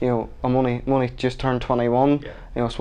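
A man with a Northern Irish accent talks very fast at medium pitch in a monotone, flat delivery. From Northern Ireland. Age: 20s. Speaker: motorcycle road racer. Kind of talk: sports interview.

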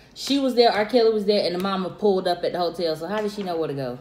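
There is audible room echo around this woman's voice. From South Carolina. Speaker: friend of vlogger. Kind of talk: casual chat. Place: home room. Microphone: phone near.

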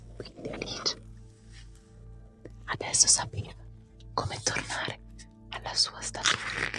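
Whispering with long, frequent pauses, a woman is heard over faint music in the background. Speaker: ASMR creator. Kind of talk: relaxing storybook reading. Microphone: studio mic.

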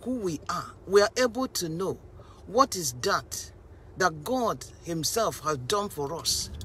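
Her pitch swings very widely as this woman talks at a fairly slow pace, the sound dry with no echo and light background noise behind her. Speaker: preacher. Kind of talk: sermon. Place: car. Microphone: phone near.

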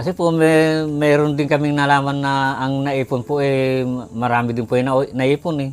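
This man has a normal speaking voice with a fairly high pitch. He talks at a moderate pace with fairly even intonation. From Philippines, Nueva Ecija. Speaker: former village councilor. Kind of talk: interview. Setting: at home.

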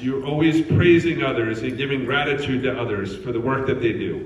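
Audible room echo and light background noise around a man's voice. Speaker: retirement community CEO. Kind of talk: casual conversation. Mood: warm, praising. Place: hall. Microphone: handheld.

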